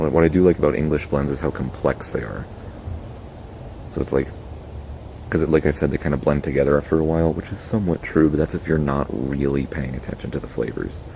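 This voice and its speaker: The voice is quiet and very fast, broken by long, frequent pauses. Intonation stays fairly even over noticeable background noise. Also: man, very deep, low pitch for a man. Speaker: tobacco pipe reviewer. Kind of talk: casual review monologue.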